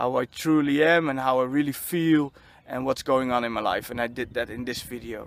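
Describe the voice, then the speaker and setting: Someone with a Dutch accent talks at a fairly quick pace, keeping the intonation fairly even. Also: man, medium pitch for a man. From Netherlands. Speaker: spiritual vlogger. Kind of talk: personal vlog monologue. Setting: outdoors on a football field. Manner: halting, many fillers and repetitions.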